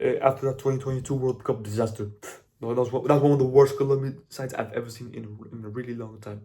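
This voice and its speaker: Speaking at a very fast pace, a man has a medium pitch and a dark, mellow tone. His voice is somewhat breathy. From Colombia. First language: Spanish. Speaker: football content creator. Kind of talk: casual monologue. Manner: halting, many fillers and repeats; animated.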